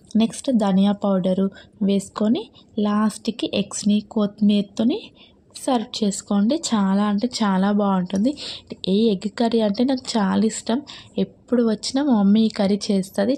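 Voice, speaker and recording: The woman's voice sits at medium pitch and is somewhat breathy. Its tone is dark and mellow. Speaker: home cook. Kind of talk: recipe voice-over.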